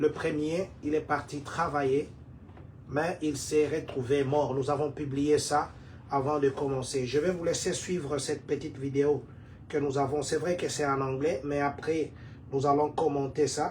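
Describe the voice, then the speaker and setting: Speaking fairly slowly, a man holds a fairly high pitch in monotone, flat intonation. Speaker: community leader and online show host. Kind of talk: livestream news talk. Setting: live stream.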